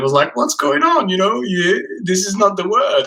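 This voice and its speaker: A man speaks with a French accent. His tone is bright and sharp. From France. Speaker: podcast host. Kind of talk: interview.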